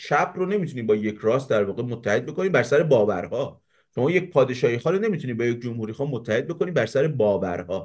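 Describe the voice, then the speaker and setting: The man's pitch swings very widely as he talks at a very fast pace. He leaves hardly any pauses. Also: medium pitch for a man, quiet background. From Iran, Savadkuh in Mazandaran; Mazandaran, Iran. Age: 30s. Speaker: YouTube show host. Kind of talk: political debate. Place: home room. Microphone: webcam.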